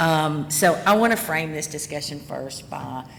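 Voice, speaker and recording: A woman with a Southern US accent speaks at a very deep, low pitch with ordinary pitch variation. Audible room echo surrounds her voice. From US South. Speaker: cybersecurity executive. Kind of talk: conference talk.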